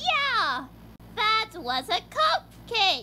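In a cartoonish character voice with an extremely high pitch, the speaker is heard over clear background noise. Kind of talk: cartoon hype voice.

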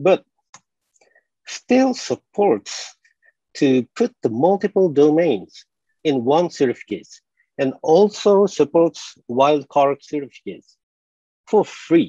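Against a quiet background, a man with a Japanese accent speaks very slowly in a dark, mellow tone at a fairly high pitch, with very wide pitch swings and long, frequent pauses. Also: dry sound with no echo. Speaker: conference presenter and developer trainer. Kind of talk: technical presentation with live demo. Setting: video call. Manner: self-deprecating, laughs often. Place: home room.

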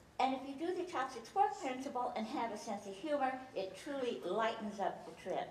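Amid light background noise and audible room echo, a woman speaks in a high voice whose pitch swings very widely. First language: Chinese. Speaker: speaker, former philosophy teacher. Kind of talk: humorous talk to a live audience. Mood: humorous, warm. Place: hall.

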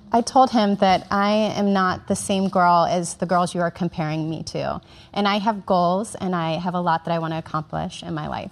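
The speaker has an unremarkable speaking voice, with fairly even intonation and a moderate pace. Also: woman, fairly low pitch for a woman. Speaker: interpreter. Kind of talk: consecutive interpretation.

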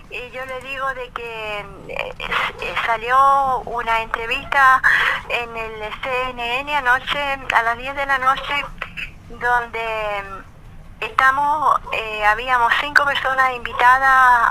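A woman with a high pitch talks at a very slow pace in a raised, projected voice, with big swings in loudness and fairly even intonation. Noticeable background noise is present. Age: 80s+. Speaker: pension protester. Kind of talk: radio phone interview answer.

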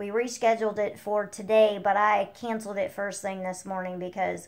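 Against a quiet background, a woman speaks in a weary tone at a moderate pace with fairly even intonation. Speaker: vlogger. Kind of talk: casual vlog chat. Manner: weary, low-energy voice of someone unwell. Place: home room. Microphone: phone near.

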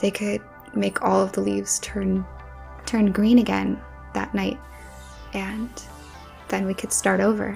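Faint music plays in the background as a soft-spoken woman talks at a moderate pace. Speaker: ASMR creator. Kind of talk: ASMR soft talking. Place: home room. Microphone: studio mic.

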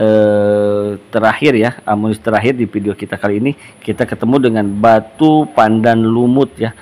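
A man with a fairly low pitch and an unremarkable speaking voice, with hardly any pauses. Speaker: gemstone shop seller. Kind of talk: sales pitch, product showcase. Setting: shop video recording. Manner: upbeat pitchman patter, repeating prices and praise; fast, salesy, persuasive.

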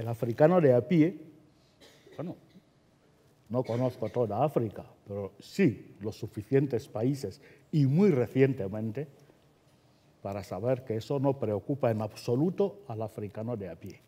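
A man's dark, mellow voice with lively intonation, big swings in loudness and long, frequent pauses. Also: fairly slow pace. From Equatorial Guinea. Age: 70s. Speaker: writer; writer on a panel. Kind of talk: panel discussion. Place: hall. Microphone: headset.

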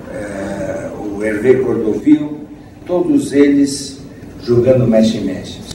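A man's fairly high voice, very slow and with lively intonation, amid audible room echo and light background noise. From São Paulo, Brazil. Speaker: conductor and composer. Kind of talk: lecture to an audience. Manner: didactic, conversational. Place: hall. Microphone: camera far.

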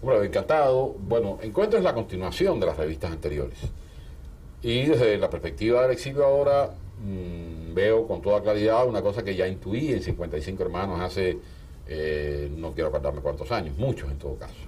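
A man with a dark, mellow tone and vocal fry speaks at a fairly low pitch and a moderate pace, his pitch swinging very widely. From Cuba. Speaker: writer and filmmaker; interviewee. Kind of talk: interview. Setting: office. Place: studio. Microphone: lapel.

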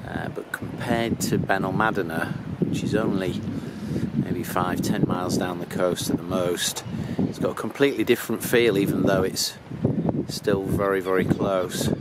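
A man's voice, dry with no echo, amid loud background noise. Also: moderate pace. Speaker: motorhome traveller vlogger. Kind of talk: casual vlog chat. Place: street. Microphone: phone near.

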